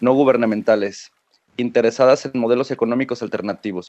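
With a Mexican accent, a man talks at a fairly quick pace, his medium pitch and intonation fairly even. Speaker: podcast host. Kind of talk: reading guest bio. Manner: halting.

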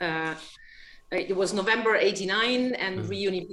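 A woman speaks at a medium pitch in a German accent. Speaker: watch company sales executive. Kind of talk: casual interview. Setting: remote video call. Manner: halting, many repetitions and fillers.

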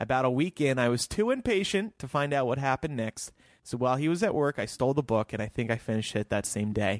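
On a very clean recording with a silent background and a dry, close sound with no echo, a man with medium pitch talks at a very fast pace, with lively intonation and hardly any pauses. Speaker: podcast host. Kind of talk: casual chat.

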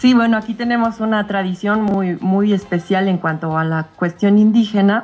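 An unremarkable speaking voice with fairly even intonation, a moderate pace and hardly any pauses. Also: woman, medium pitch for a woman. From Mexico. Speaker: caller. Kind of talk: casual chat.

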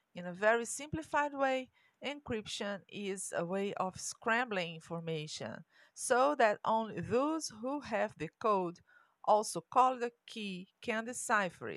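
A woman's fairly high voice in a Portuguese accent, fairly slow, with lively intonation, big swings in loudness and a very clean recording against a silent background. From Brazil. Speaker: tech educator podcast host. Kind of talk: scripted narration.

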